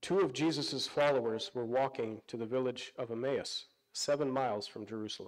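Moderate pacing and ordinary pitch variation against a quiet background. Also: man. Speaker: pastor. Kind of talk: sermon. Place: church.

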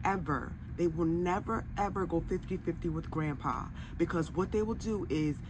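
Over noticeable background noise, a woman talks at a fairly slow pace with vocal fry, a very deep, low pitch and ordinary pitch variation. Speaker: commentary vlogger. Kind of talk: commentary. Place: home room.

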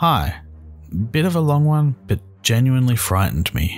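A man with an Australian accent speaks at a moderate pace, his pitch swinging very widely. Music plays in the background. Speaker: horror story narrator. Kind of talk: scary story narration.

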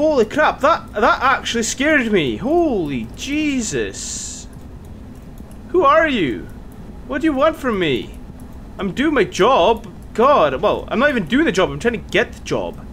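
With light background noise behind him, a man speaks at an extremely high pitch, his pitch swinging very wide, with long, frequent pauses. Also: fairly slow pace. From Scotland. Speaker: gaming YouTuber. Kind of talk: let's play commentary. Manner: excitable, swearing. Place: home room. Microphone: headset.

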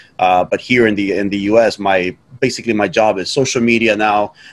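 A man speaks at a moderate pace in an ordinary speaking voice. His pitch is fairly low, and his intonation stays fairly even. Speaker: guest. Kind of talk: interview answer. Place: home room. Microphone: video call.

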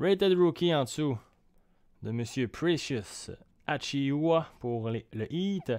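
Against a quiet background, a speaker with a Quebec accent talks at a very slow pace with lively intonation and long, frequent pauses. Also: man, fairly high pitch for a man. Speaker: card break streamer; card break host. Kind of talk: live stream commentary. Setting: at home, evening live stream. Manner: calmer, not shouting. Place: home room.

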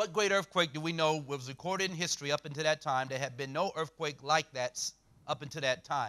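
A man talks at a fairly quick pace in a fairly high pitch, with ordinary pitch variation. His tone is bright, sharp and animated. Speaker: preacher. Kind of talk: sermon lecture. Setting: church, consecutively translated into Romanian. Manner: animated, emphatic preacher in full flow, rhetorical questions; short punchy phrases, pausing for interpreter. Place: church.

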